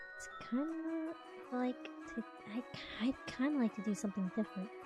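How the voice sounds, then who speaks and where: A soft-spoken woman talks at a fairly slow pace with very wide pitch swings. Music plays in the background. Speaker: VTuber streamer. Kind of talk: live-stream reading of a visual novel with chatty asides.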